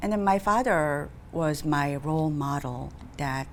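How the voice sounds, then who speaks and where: A woman speaks in a Korean accent with a very deep, low pitch and ordinary pitch variation. Audible room echo surrounds her voice. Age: 60s. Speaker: nonprofit executive director. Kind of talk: interview.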